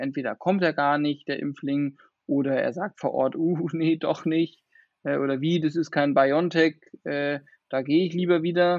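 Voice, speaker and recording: At a moderate pace, a man with a normal speaking voice talks at a fairly high pitch with fairly even intonation. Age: 20s. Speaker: vaccination centre manager. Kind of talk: interview.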